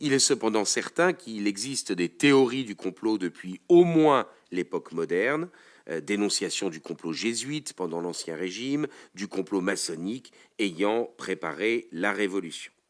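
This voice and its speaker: Fairly slowly and at a fairly low pitch, a man speaks with very wide pitch swings. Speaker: political scientist. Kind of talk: conference talk. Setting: conference with audience. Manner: halting.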